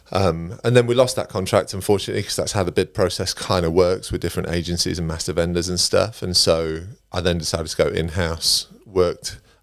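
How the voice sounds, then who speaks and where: A man with an East Midlands accent, very deep and low in pitch, at a fairly quick pace with hardly any pauses, in a very clean recording with a silent background. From England, Derbyshire (East Midlands). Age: 40s. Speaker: recruitment leader. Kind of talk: podcast interview. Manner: casual, chatty.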